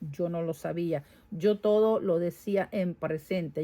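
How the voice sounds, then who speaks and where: Speaking very slowly in a Venezuelan accent, a woman has a fairly low pitch, a dark, mellow tone and ordinary pitch variation. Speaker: vlogger. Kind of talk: casual vlog monologue. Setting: home garage.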